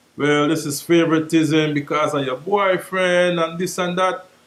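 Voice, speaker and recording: A man with a high pitch talks at a moderate pace with fairly even intonation, amid noticeable background noise. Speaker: dancehall reggae artist. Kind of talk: interview.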